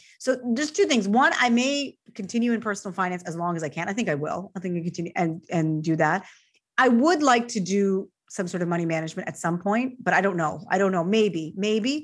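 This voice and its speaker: Using a plain, everyday voice, a woman of medium pitch talks at a fairly quick pace with hardly any pauses and lively intonation. The recording is very clean, with a silent background. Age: 40s. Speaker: personal finance journalist. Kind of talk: casual interview.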